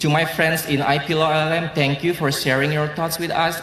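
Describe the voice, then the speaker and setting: Over noticeable background noise and audible room echo, a man with an Indonesian accent speaks at a fairly quick pace. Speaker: law graduate student. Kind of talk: graduation speech.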